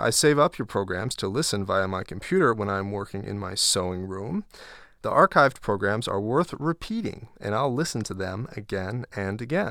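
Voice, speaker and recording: On a very clean recording with a silent background, a man speaks at a moderate pace in a fairly low-pitched voice with a bright, sharp tone and lively intonation. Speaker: co-host sidekick. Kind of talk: casual banter and reading listener mail. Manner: playful, teasing.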